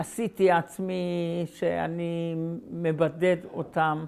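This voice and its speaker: Very slow delivery in a monotone, flat intonation. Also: woman. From Slovakia, Galanta. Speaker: Holocaust survivor. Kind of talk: testimony. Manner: halting.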